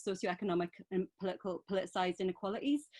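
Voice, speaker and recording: With a Geordie accent, a woman talks at a fairly quick pace and medium pitch with fairly even intonation, the sound dry and close with no echo over a quiet background. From northeast England. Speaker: women's centre worker. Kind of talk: panel talk.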